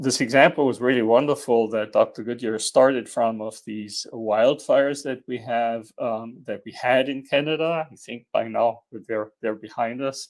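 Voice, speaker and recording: With a German accent, a man talks at a moderate pace and medium pitch with fairly even intonation, on a very clean recording with a silent background. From Germany. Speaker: engineering dean. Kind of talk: panel presentation. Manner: hesitant, many fillers.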